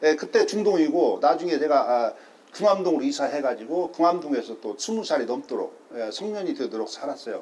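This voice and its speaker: Fairly quick and lively in intonation, a man with a fairly high pitch speaks against noticeable background noise. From South Korea, Gunsan (North Jeolla). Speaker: local historian and citizen journalist. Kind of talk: interview.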